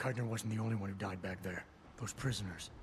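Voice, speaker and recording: With clear background noise present, a man does a raspy put-on character voice, talking very fast at a fairly low pitch with fairly even intonation. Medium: video game. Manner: gruff, terse.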